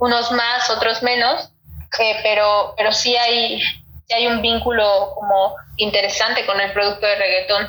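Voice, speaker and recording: A woman's fairly high voice with monotone, flat intonation and very even loudness. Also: fairly slow pace. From Mexico City periphery. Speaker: sociology researcher. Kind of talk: expert interview. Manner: halting with repetitions.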